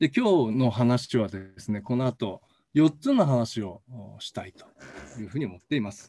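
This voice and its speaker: With lively intonation, a man speaks at a fairly slow pace in a dark, mellow tone at medium pitch. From Hokkaido. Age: 60s. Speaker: professor. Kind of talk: lecture. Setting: recorded video, no live audience.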